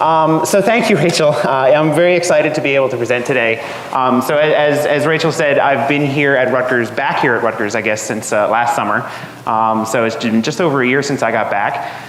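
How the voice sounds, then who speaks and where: A man with an American accent talks at a fairly quick pace in a fairly high pitch, his loudness very even, with noticeable background noise and audible room echo. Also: ordinary pitch variation. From New Jersey. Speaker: atmospheric scientist. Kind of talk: lecture. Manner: halting, many fillers.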